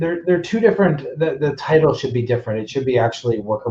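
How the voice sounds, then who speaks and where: A man is the speaker. There is a somewhat breathy quality to his voice. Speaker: immigration consultant presenting a webinar. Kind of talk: webinar presentation. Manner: fast; hesitant, many fillers.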